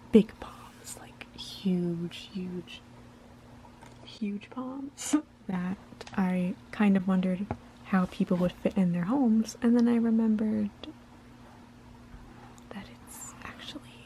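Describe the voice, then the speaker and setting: A soft-spoken voice at a very slow pace, with long, frequent pauses and noticeable background noise. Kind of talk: ASMR soft-spoken book flip-through. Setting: home recording without microphone.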